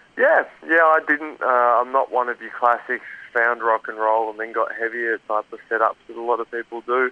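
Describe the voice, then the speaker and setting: Speaking with an Australian accent at a moderate pace, a man of medium pitch keeps his intonation fairly even while his loudness swings widely. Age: 30s. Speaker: metal band vocalist and guitarist. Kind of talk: interview. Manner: halting.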